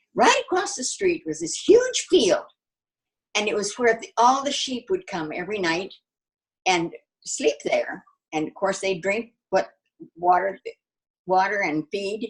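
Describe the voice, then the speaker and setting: A woman speaks at a fairly slow pace with a somewhat breathy voice and long, frequent pauses. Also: medium pitch for a woman, lively intonation. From grew up in Bethlehem, child of missionaries. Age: 80s+. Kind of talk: interview answer.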